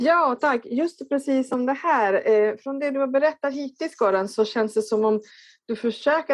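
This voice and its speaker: A woman speaks in an Italian accent at a fairly slow pace. Her intonation is lively. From Italy. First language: Italian (speaking Swedish). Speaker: workshop participant. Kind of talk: audience question.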